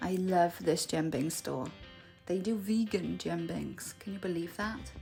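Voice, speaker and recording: The speech comes at a fairly slow pace. There is music in the background. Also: woman. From Cardiff, Wales. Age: 30s. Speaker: English teacher. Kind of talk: casual vlog narration.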